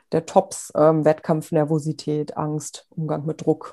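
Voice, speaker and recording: The background is quiet. Her tone, a woman's, is dark and mellow. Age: 30s. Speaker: sports psychologist. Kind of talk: interview. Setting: remote call.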